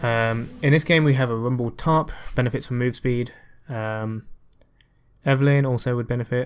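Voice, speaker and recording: Mumbling at a moderate pace with long, frequent pauses, a man speaks at medium pitch with fairly even intonation. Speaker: gaming commentator. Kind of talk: gameplay commentary.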